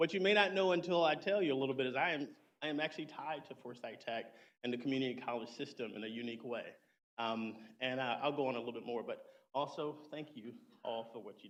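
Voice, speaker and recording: A man with an American accent talks very fast at a medium pitch, his loudness swinging widely. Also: ordinary pitch variation. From US South, Low Country South Carolina. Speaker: keynote speaker, army veteran. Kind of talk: keynote speech. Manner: halting, with many fillers.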